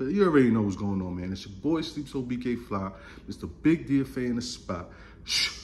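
A man speaks at a moderate pace in an animated tone, with very wide pitch swings and big swings in loudness. Light background noise is audible. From Brooklyn, New York. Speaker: gun YouTuber. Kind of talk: casual vlog monologue. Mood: joking, opinionated. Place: home room. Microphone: phone near.

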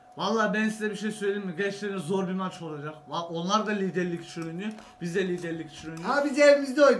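A man talking at a fairly quick pace with hardly any pauses, over light background noise. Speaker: football reaction video host. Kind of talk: casual reaction chat. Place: studio.

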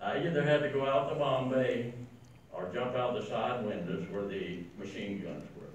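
A man at medium pitch talks at a moderate pace with light background noise and audible room echo. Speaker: war veteran. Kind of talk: speech to an audience. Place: meeting room.

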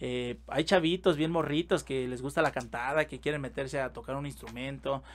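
A man with a fairly high pitch talks at a moderate pace in a plain, everyday voice, his intonation fairly even. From Mexico. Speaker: podcast host and music producer; podcast host. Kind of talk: casual interview. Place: studio. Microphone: studio mic.

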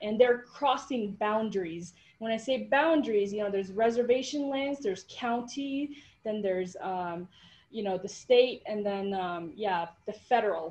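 With an American accent, a woman speaks at a moderate pace. Her voice is somewhat breathy. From Navajo Nation, northern Arizona; Arizona. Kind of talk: panel discussion. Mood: thoughtful, earnest. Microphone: video call.

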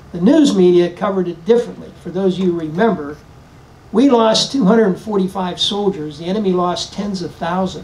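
A man with an American accent speaks at a moderate pace. His high pitch shows ordinary variation. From western Pennsylvania. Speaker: retired army general, speaker; speaker. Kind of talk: speech to audience. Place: tent. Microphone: podium.

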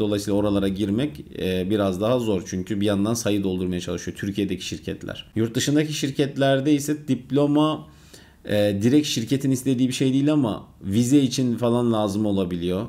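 This man has a fairly low pitch and a dark, mellow tone. He moves at a fairly quick pace with ordinary pitch variation. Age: 20s. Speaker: software developer vlogger. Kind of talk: Q&A vlog. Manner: casual, conversational. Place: home room.

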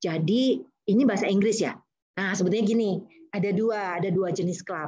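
This woman's voice is somewhat breathy. Her medium pitch shows ordinary variation. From Indonesia. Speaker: university lecturer and public speaking trainer; university lecturer, public speaking trainer. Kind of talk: webinar talk. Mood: warm, encouraging. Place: home room. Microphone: video call.

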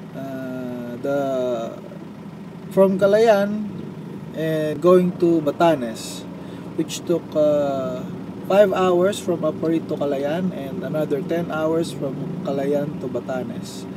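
A man with a fairly high pitch and lively intonation speaks at a very slow pace, with a dry sound with no echo and noticeable background noise. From Philippines. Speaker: motorcycle traveler vlogger. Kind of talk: personal video diary. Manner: halting, with many fillers and repetitions. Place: car. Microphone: phone near.

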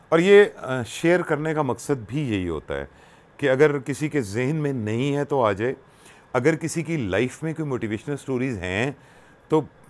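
Lively intonation at a fairly slow pace. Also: man, fairly high pitch for a man. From Pakistan, Punjab (Attock); Punjab, Pakistan. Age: 60s. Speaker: radio presenter and social worker; interview guest, radio presenter. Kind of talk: personal storytelling interview. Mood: warm, emotional, reflective. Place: home room. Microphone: lapel.

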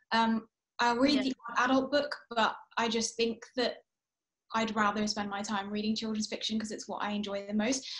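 At a moderate pace, a woman with a fairly high pitch speaks in a monotone, flat intonation against a quiet background. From England and Kuwait. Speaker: author. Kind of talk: author interview. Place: home room. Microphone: video call.

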